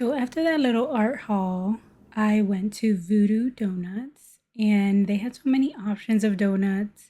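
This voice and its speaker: A somewhat breathy, dark, mellow tone at a fairly slow pace, with ordinary pitch variation, big swings in loudness, and a very clean recording with a silent background. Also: woman, fairly high pitch for a woman. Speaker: art vlogger. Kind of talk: vlog narration.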